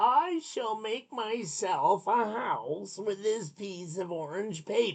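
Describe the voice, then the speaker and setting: This is a put-on character voice with a fairly high pitch. It moves at a fairly slow pace. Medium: read story.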